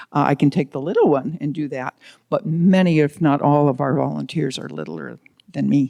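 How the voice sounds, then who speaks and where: A woman with a very deep, low pitch and vocal fry speaks at a moderate pace in a dark, mellow tone, with a dry, close sound and no echo. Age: 70s. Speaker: community volunteer presenter. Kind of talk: community presentation. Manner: casual, with many fillers.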